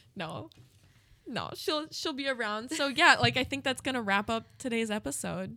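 At a moderate pace, a woman talks with fairly high pitch and very wide pitch swings. Her tone is bright and sharp, with vocal fry. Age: 20s. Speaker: podcast co-host, student filmmaker. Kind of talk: casual chat. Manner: animated.

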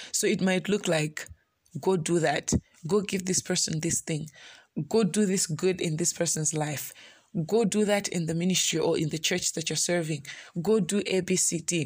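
Against a silent background in a very clean recording, a woman speaks at a moderate pace in a somewhat breathy voice with fairly even intonation. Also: fairly low pitch for a woman. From Malawi. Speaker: pastor. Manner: conversational, earnest; heartfelt, pleading, emotional when voicing prayer: "Lord, it hurts a lot".

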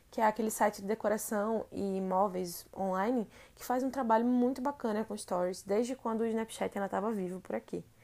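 Moderate pace and ordinary pitch variation from a woman pitched fairly high, very cleanly recorded over a silent background. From Recife, Brazil. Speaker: podcast host, advertising strategist. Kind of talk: solo podcast monologue.

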